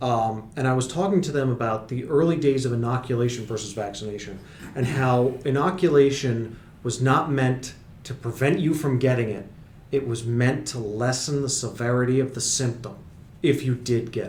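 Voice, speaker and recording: A man speaks at a medium pitch. Room echo can be heard around him. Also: ordinary pitch variation, moderate pace. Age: 30s. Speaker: podcast host and medical educator. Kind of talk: casual chat.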